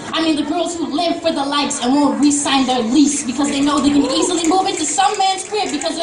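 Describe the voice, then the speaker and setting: Against crowd noise in the background, a woman speaks in a passionate tone. She moves at a fairly quick pace with ordinary pitch variation. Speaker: spoken word poet performing at a student coffee house. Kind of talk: spoken word poetry performance with rhythmic repetition. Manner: rhythmic, emphatic, passionate.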